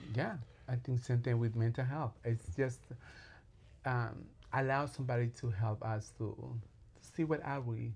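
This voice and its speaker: A man with a strong Latin American accent speaks in a somewhat breathy voice with fairly even intonation. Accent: heavy Latin. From Colombia. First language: Spanish. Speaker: clinical social worker. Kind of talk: podcast interview. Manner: halting.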